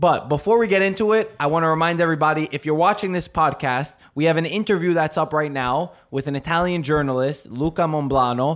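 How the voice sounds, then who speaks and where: A man with an ordinary speaking voice, fairly high pitch, ordinary pitch variation and a fairly quick pace. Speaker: football podcast host. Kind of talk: casual sports panel chat.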